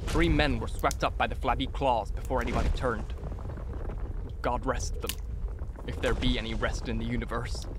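A man at a fairly quick pace with long, frequent pauses, a dry sound with no echo and noticeable background noise. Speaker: audiobook narrator. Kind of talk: scripted narration, reading aloud a horror story. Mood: dramatic, dark storytelling. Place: home room. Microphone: studio mic.

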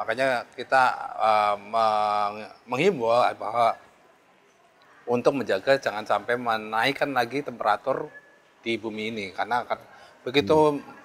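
The speech moves at a moderate pace with fairly even intonation and long, frequent pauses. Light background noise sits underneath. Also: man, medium pitch for a man. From Central Java (Banjarnegara); Central Java. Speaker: head of a meteorological station; guest. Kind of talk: interview. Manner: halting, many fillers. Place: shop. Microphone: lapel.

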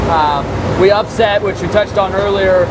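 This man keeps a moderate pace while loud background noise fills the recording. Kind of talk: interview answer. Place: factory.

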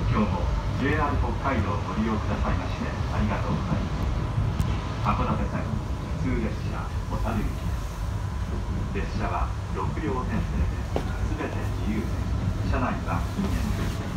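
Loud background noise surrounds speech with long, frequent pauses and ordinary pitch variation. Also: man. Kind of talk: transit announcement. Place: train.

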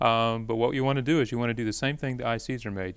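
A man with an American accent at a very fast pace, his intonation fairly even. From Indiana. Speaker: optics professor. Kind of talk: casual chat. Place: studio. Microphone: lapel.

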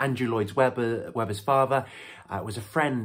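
A somewhat breathy man, with ordinary pitch variation, against a quiet background. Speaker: speaker. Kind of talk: sermon. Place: home room. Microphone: phone near.

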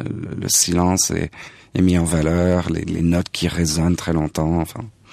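At a fairly slow pace, a man speaks in a very deep, low pitch. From Paris suburbs, France. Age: 40s. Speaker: jazz pianist. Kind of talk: interview. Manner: halting, repeats words.

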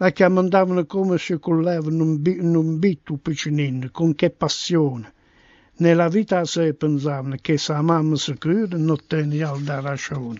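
A man with a fairly high voice speaks at a fairly slow pace with fairly even intonation. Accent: Apulian. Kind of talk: dialect poetry reading.

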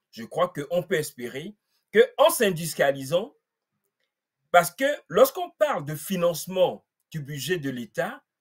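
Over a quiet background, a man's high voice moves in very wide pitch swings. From Togo. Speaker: political activist; guest commentator. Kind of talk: panel discussion. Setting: video call. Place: home room.

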